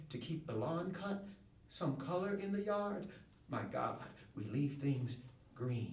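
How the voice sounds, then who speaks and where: In a room with audible echo and noticeable background noise, a man with a Southern US accent and a fairly high pitch speaks at a very slow pace, using lively intonation and long, frequent pauses. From Shreveport, Louisiana, US South. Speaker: poet. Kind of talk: poetry reading. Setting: stage with audience.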